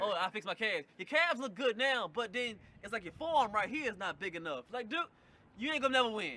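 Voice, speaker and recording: In a raised, projected voice pitched high, a man talks at a very fast pace with lively intonation. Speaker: podcast guest. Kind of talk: casual chat. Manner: loud; strong, direct.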